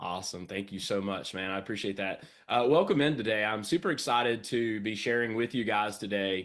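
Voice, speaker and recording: Against a quiet background, a man with a fairly low voice talks at a fairly quick pace in an energetic tone, with ordinary pitch variation and hardly any pauses. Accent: Southern US. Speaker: business coach. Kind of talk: sales training presentation. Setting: home studio, online livestream.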